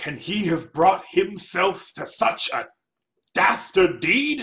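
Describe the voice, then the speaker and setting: Putting on a character voice, a man speaks high and very slowly. His intonation is lively, and his loudness swings widely. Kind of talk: classical verse drama. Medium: stage play. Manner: formal, archaic, courteous.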